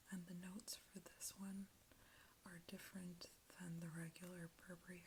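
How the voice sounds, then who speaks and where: The speaker is soft-spoken. The pace is moderate. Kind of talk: ASMR product talk.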